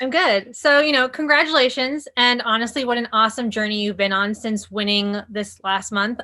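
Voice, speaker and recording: A woman's fairly high voice, an unremarkable speaking voice, with hardly any pauses. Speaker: entertainment interviewer. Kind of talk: interview host. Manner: upbeat.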